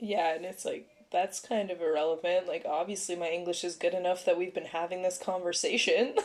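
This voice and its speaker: Using a plain, everyday voice, a woman of medium pitch speaks with a Canadian accent and fairly even intonation. She moves at a fairly quick pace with hardly any pauses. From Canada, Ontario (Vaughan). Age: 20s. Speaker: podcast co-host. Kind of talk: casual chat.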